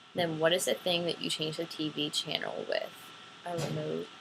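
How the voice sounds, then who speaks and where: An American accent over noticeable background noise. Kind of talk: casual talk to camera, accent tag answers.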